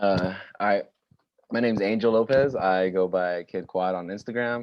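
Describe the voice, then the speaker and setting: A man speaks with an unremarkable speaking voice and a fairly low pitch. His intonation is fairly even and his pace moderate. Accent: American. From Texas, San Antonio. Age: 20s. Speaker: roller skater. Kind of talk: casual chat.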